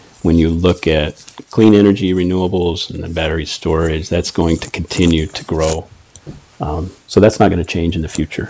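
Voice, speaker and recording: A man's very deep, low voice with an American accent at a moderate pace, over noticeable background noise. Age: 60s. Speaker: sales manager. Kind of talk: interview.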